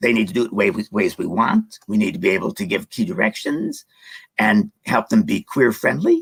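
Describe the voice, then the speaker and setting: A man's fairly high voice with vocal fry and very wide pitch swings at a moderate pace, dry and close with no echo. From US Midwest. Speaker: seniors community advocate. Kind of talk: interview. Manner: halting.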